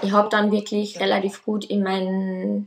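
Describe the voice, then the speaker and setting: A woman is speaking. Her pace is fairly slow. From Austria. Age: 20s. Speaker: nursery teacher sharing pregnancy loss story. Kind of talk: personal testimony.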